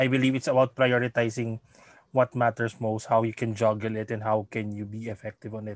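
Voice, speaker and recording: In a Filipino accent, a man talks fairly quickly at a medium pitch with monotone, flat intonation, recorded very cleanly against a silent background with a dry, close sound and no echo. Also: big swings in loudness. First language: Tagalog. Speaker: podcast host. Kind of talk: casual interview in Taglish. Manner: halting, many fillers.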